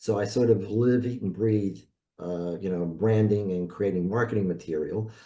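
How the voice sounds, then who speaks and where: Speaking with a New York accent, a man with a dark, mellow tone and fairly low pitch keeps a moderate pace and fairly even intonation. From New York City (South Bronx). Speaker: branding expert, designer. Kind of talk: presentation.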